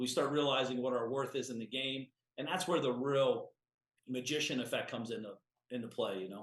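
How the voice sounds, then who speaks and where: The man talks fairly quickly. His medium pitch shows ordinary variation. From US Midwest (small-town Ohio). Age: 40s. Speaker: entrepreneur. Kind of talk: podcast interview. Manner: animated.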